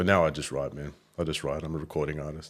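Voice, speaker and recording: Very clean and silent in the background, this recording features a man with an Australian accent. His pitch is very deep and low. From Australia, Gold Coast and Melbourne. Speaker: rapper. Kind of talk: casual chat.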